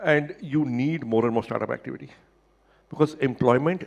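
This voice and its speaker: With an Indian accent, this man talks at a fairly quick pace in a medium pitch, using ordinary pitch variation and some vocal fry. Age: 60s. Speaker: internet entrepreneur. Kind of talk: panel interview at a summit.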